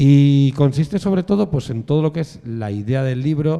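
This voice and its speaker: A dark, mellow tone carries the words. Pacing is moderate, and the pitch rises and falls in a normal way. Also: man. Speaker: art historian lecturer. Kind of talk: lecture.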